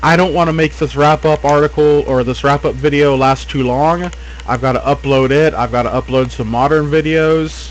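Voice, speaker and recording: A man's voice at a moderate pace, very even in loudness, over noticeable background noise. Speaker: gaming video host. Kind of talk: casual video commentary.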